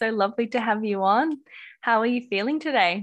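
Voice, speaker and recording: A woman with an Australian accent talks at a moderate pace, her fairly high pitch showing ordinary variation. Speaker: podcast host. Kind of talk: casual interview chat. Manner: warm, gentle, easeful.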